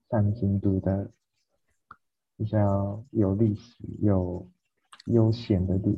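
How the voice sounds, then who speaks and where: In a Japanese accent, a man talks very slowly in a fairly low, somewhat breathy, monotone voice with flat intonation and long, frequent pauses. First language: Japanese (speaking Chinese). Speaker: podcast co-host. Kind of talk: casual chat.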